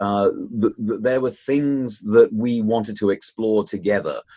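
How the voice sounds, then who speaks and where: Here a man talks with a British accent and lively intonation. He keeps a fairly slow pace. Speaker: author, activist, research professor. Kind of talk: interview answers, discussing a book.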